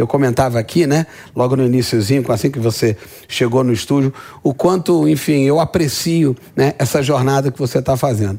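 He is a man speaking at a moderate pace with a medium pitch. His pitch varies in an ordinary way, and his loudness stays very even. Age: 50s. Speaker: business podcast host. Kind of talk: interview. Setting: studio.

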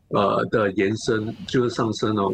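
The pace of this man's speech is fairly slow. His pitch sits in the medium range. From Singapore. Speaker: investment analyst. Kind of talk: interview. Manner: halting, many fillers and repeats; code-switching into English.

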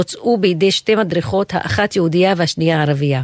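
Recorded dry and close with no echo, a woman speaks in a normal speaking voice at medium pitch with ordinary pitch variation. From Israel, Haifa. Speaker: professor. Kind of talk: personal monologue.

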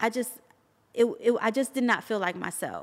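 A woman with a fairly high pitch speaks in an animated tone on a very clean recording with a silent background. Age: 40s. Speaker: business founder. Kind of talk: interview.

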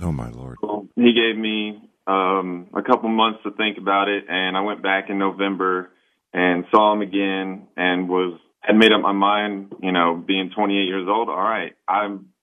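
A man with a normal speaking voice and fairly low pitch talks at a moderate pace with fairly even intonation and hardly any pauses. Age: 20s. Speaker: patient. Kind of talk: testimony. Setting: phone call.

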